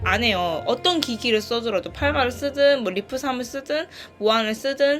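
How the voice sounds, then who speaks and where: A woman with a high pitch and a Gyeongsang accent, with music in the background. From Gyeongsang region, South Korea. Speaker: e-reader reviewer. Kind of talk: casual product review to camera. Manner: high-energy, may sound irritated.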